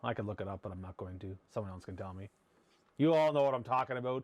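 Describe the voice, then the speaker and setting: A man with a Maritime Canadian accent, medium pitch, against a quiet background. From Prince Edward Island, Canada. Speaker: hockey podcast host. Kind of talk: casual monologue. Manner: loud; animated.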